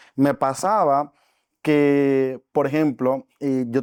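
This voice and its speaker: A man's dark, mellow voice, fairly high in pitch, with a Dominican accent, on a very clean recording with a silent background. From Dominican Republic. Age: 20s. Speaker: network marketing entrepreneur. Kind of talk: podcast interview.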